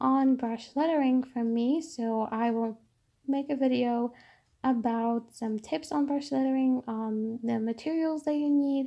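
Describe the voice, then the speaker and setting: A woman with a Polish accent speaks very slowly in a high-pitched voice, her tone dark and mellow and her pitch varying in an ordinary way. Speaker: bullet journal vlogger. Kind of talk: tutorial. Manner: halting.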